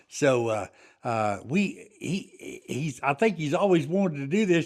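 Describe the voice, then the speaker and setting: With a West Texas accent, a man speaks at a moderate pace with a fairly high pitch. The recording is very clean, with a silent background. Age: 70s. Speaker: farrier and war veteran. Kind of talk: interview. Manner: halting.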